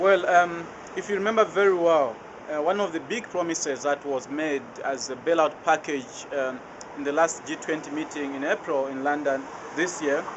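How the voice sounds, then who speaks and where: Over noticeable background noise, a man talks in a fairly high pitch at a moderate pace with ordinary pitch variation. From Zambia. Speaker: anti-poverty debt campaigner. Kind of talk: interview answer. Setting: outdoors.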